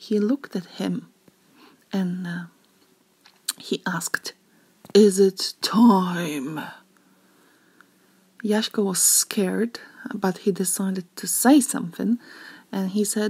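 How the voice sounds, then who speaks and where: A somewhat breathy woman's voice at medium pitch with ordinary pitch variation and long, frequent pauses, in a dry, close sound with no echo. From Zakopane, Poland. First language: Polish. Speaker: tour guide. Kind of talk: read-aloud storytelling of a legend. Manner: hesitant, many filler sounds.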